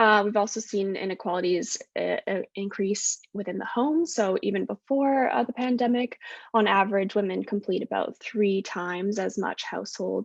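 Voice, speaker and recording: A woman with a Canadian accent has an unremarkable speaking voice at a medium pitch. She keeps a moderate pace with hardly any pauses, and the sound is dry and close with no echo. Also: ordinary pitch variation. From west coast of Canada. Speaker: postdoctoral researcher, social psychologist. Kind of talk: academic talk at online panel.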